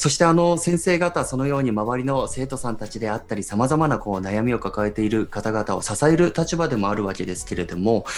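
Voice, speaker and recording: Against noticeable background noise, a man with a medium pitch talks at a fairly quick pace with hardly any pauses. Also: lively intonation. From Iwate, Japan. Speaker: radio host and photojournalist. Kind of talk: radio talk show.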